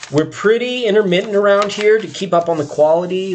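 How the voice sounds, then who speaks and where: A man's voice over noticeable background noise. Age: 40s. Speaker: tarot reader streamer. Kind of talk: casual live stream chat. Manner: casual, chatty.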